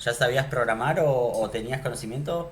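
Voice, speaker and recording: Somewhat breathy, a man's medium-pitched voice carries ordinary pitch variation over audible room echo. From Argentina, Neuquén. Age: 30s. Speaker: programming teacher. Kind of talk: online class. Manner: casual, with filler words.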